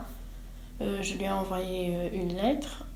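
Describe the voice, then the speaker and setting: Speaking at a very slow pace, a woman with a Burundian accent uses a medium pitch. Noticeable background noise and audible room echo surround her voice. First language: Kirundi (speaking French). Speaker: student, asylum seeker. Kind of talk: interview. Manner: halting, many hesitations.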